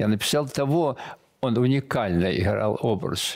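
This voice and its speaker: Here a man talks at medium pitch and a fairly slow pace. The background is quiet. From Belarus, village. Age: 80s+. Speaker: military painter; guest. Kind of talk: interview. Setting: studio. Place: studio.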